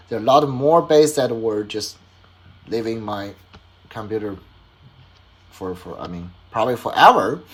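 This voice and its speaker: A man with a medium pitch speaks at a moderate pace, with ordinary pitch variation, long, frequent pauses and big swings in loudness. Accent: Chinese. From China. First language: Chinese. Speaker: hobbyist toy designer and YouTuber. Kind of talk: casual vlog summary. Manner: halting, many fillers and restarts.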